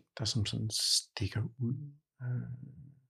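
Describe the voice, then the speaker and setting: A somewhat breathy man's voice on a very clean recording with a silent background. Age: 50s. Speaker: client with tinnitus. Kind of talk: therapy session. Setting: studio. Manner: halting, many fillers.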